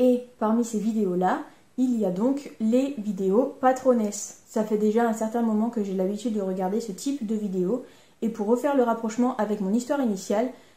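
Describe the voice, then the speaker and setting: In a room with audible echo, a woman speaks at a moderate pace with fairly even intonation, a fairly high pitch, a dark, mellow tone and a somewhat breathy quality. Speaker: sewing YouTuber. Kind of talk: casual vlog talk. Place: home room.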